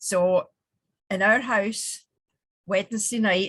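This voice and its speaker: A woman with a Scottish accent, very slow pace and fairly even intonation. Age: 70s. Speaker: women's organisation regional president. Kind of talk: tribute message.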